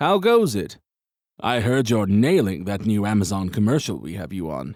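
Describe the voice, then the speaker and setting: In a put-on character voice full of cackling, a man with a fairly low pitch speaks at a moderate pace with lively intonation and big swings in loudness, on a very clean recording with a silent background. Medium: read story. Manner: jovial, cackling.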